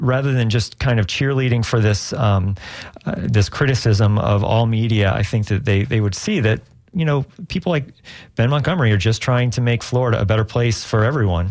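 Using an ordinary speaking voice, a man talks at a fairly quick pace and medium pitch with ordinary pitch variation and very even loudness. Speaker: radio news director. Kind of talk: interview.

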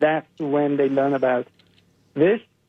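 Here a man with a Persian accent talks at a fairly quick pace, fairly high in pitch and monotone, with flat intonation. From Iran. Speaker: biomedical scientist and animal rights activist. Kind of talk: radio interview.

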